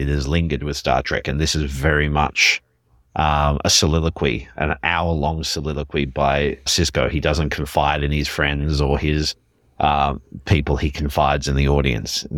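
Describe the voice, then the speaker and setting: Using vocal fry, a man speaks in a very deep, low voice with monotone, flat intonation. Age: 40s. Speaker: podcast co-host. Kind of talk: casual chat.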